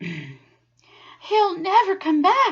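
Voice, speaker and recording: A female-sounding, put-on character voice is pitched extremely high. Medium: read story.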